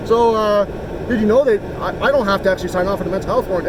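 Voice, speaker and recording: Very fast speech from a high-pitched man with a Canadian Prairies accent, over noticeable background noise. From Canada. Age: 40s. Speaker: local activist filming police. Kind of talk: casual conversation with police officer.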